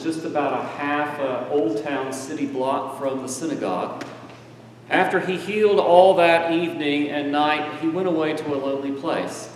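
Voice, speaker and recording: Over light background noise and audible room echo, a man talks at a moderate pace with a fairly high pitch and ordinary pitch variation. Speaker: preacher. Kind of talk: sermon. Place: church.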